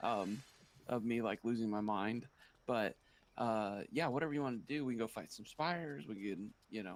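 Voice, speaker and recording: A man talks quietly at a moderate pace, his medium pitch rising and falling in an ordinary way. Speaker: gaming streamer. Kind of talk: casual chat. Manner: quiet, subdued.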